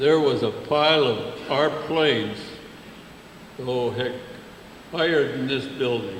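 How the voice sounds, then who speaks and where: A man's medium-pitched voice at a very slow pace, with long, frequent pauses and noticeable background noise. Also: ordinary pitch variation. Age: 80s+. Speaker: WWII veteran. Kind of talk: interview answer.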